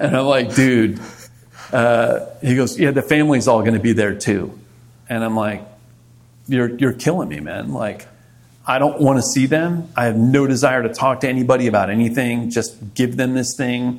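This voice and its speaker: With an American accent, a man speaks in a normal speaking voice at medium pitch, moving at a moderate pace with ordinary pitch variation. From Maryland, Montgomery County. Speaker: retired army ranger and rock musician. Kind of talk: casual interview chat.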